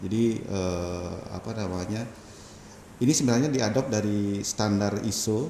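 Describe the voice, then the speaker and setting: A man with a strong Balinese accent, fairly low pitch, ordinary pitch variation and a fairly slow pace, amid audible room echo and noticeable background noise. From Bali, Indonesia. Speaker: telecom company manager. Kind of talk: casual interview.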